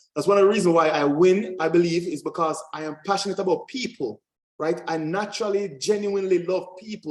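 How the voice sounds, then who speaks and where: Very fast and energetic, a man speaks with a Jamaican accent. His pitch sits high. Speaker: credit and funding coach, military veteran. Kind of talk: webinar masterclass presentation. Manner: assertive, energetic.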